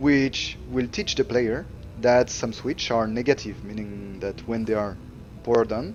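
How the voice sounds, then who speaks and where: Music plays in the background as a man with a French accent speaks at a fairly slow pace with fairly even intonation. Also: medium pitch for a man. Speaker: level designer. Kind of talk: tutorial. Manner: halting.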